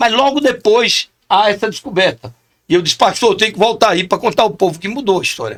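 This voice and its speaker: A man's animated, high-pitched voice at a fairly quick pace. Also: ordinary pitch variation. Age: 60s. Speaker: chaplain. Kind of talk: podcast interview.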